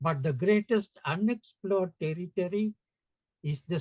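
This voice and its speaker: A man with a Sri Lankan accent talks at a fairly slow pace with lively intonation, in a dry, close sound with no echo. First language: Sinhala. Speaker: education center founder. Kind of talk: interview conversation.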